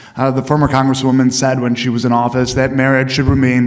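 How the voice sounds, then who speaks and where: A man talking at a very fast pace in a monotone, flat intonation, with noticeable background noise and audible room echo. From US Midwest, Chicago suburbs. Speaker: congressional candidate, county commissioner. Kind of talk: candidate forum closing statement. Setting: stage with audience.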